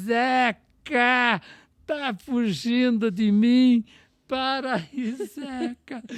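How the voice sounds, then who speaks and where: This booming, female-sounding put-on character voice sits at a fairly high pitch and moves at a very slow pace. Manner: loud, calling out.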